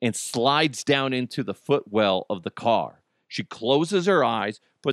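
Quiet background behind reading aloud in a natural voice

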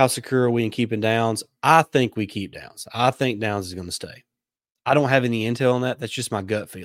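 The speaker has a Southern US accent and ordinary pitch variation. Loudness shifts in big swings. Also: man, medium pitch for a man. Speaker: sports podcast host. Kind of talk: live sports talk show. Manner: hesitant, many fillers.

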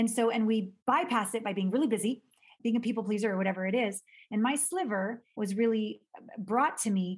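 A woman speaks at a very fast pace in a somewhat breathy voice with ordinary pitch variation. The recording is very clean, with a silent background. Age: 50s. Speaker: intimacy expert. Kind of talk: casual chat.

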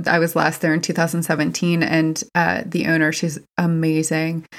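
Using a plain, everyday voice, a woman speaks at a moderate pace in a fairly low pitch. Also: very clean recording, silent background. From West Virginia. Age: 30s. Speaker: mind, body, spirit therapist. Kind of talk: casual chat.

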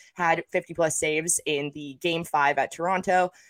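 Over music in the background, a woman with a fairly low pitch speaks at a moderate pace in a dry, close sound with no echo. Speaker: hockey podcast co-host. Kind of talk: casual sports banter. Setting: video call, remote.

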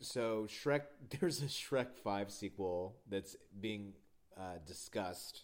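A man speaks very slowly in a fairly low pitch. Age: 30s. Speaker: podcast host. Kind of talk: casual chat; scripted narration. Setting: in person.

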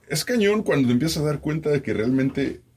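This man speaks very fast with lively intonation and a somewhat breathy voice. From Mexico. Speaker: radio host and podcaster. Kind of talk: casual chat.

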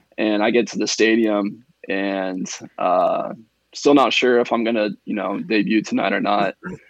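A man talks in a plain, everyday voice with an American accent. His pitch is fairly low. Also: ordinary pitch variation, moderate pace. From Indiana, near the Ohio border. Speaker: professional baseball pitcher. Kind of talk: casual interview.

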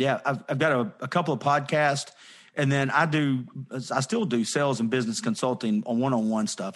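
The recording has a quiet background. A man with a medium pitch talks at a fairly quick pace. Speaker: podcaster and sales consultant. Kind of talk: casual interview chat.

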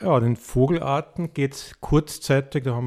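A man's dark, mellow voice at a medium pitch, fairly slow and fairly even in intonation, dry and close with no echo on a very clean recording with a silent background. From Tyrol, Austria. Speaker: birdwatcher and conservationist. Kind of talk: interview.

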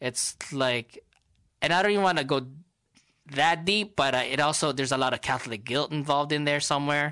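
Bright, sharp male voice with an American accent, fairly quick pace and very even loudness, over a quiet background. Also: ordinary pitch variation. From Los Angeles, Filipino American. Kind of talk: casual chat.

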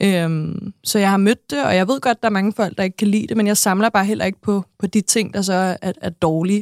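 Using a normal speaking voice, a woman talks at a fairly quick pace with hardly any pauses, medium pitch and fairly even intonation, in a dry, close sound with no echo. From Denmark, Næstved (Zealand). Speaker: TV personality. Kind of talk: interview. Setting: studio.

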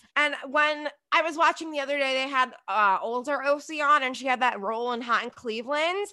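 A woman with an American accent speaks in a raised, projected voice at a high pitch, with a bright, sharp tone and ordinary pitch variation. Her pace is fairly quick, with hardly any pauses. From New Jersey. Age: 30s. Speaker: podcast host and reality TV commentator. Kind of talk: casual chat.

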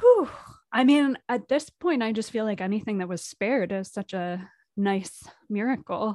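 This woman, with an American accent, has a fairly high pitch, a dark, mellow tone and ordinary pitch variation. She keeps a moderate pace on a very clean recording with a silent background. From US Northeast, Providence, Rhode Island. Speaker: comedian and video artist. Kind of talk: casual chat.

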